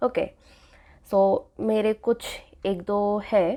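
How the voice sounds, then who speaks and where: Recorded very cleanly against a silent background, a woman speaks at a medium pitch with a dark, mellow tone. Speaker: UI designer and tutorial creator. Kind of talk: tutorial. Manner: casual, Hindi-English code-switching.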